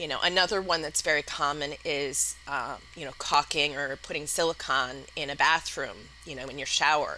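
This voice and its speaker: A woman with a slight Wisconsin accent speaks at a moderate pace in a very deep, low pitch with ordinary pitch variation, over noticeable background noise. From US Midwest, Madison, Wisconsin. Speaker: entrepreneur, company founder. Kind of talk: podcast interview.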